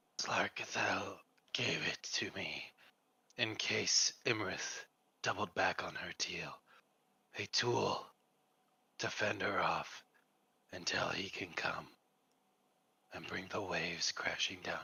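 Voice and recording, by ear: A man's put-on character voice, raspy and croaky, at a fairly slow pace with long, frequent pauses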